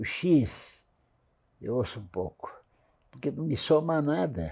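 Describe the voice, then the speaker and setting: At a very slow pace, a man speaks in a dark, mellow tone at a fairly high pitch, his pitch swinging very widely. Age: 90s. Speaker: real estate industry veteran. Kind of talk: interview.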